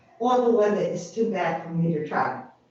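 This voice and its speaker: A woman's voice carries audible room echo. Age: 80s+. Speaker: public commenter at county meeting. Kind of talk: public comment.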